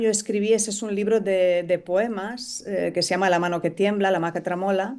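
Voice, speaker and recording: A woman at a moderate pace with hardly any pauses, medium in pitch with fairly even intonation. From Romania (Transylvania). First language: Romanian (speaking Spanish). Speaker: novelist and poet. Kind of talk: interview. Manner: halting, many hesitations.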